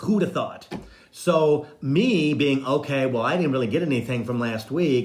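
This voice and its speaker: Somewhat breathy speech with lively intonation moves at a moderate pace through audible room echo. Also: man. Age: 60s. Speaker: psychic medium and spiritual coach. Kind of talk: casual live-stream monologue.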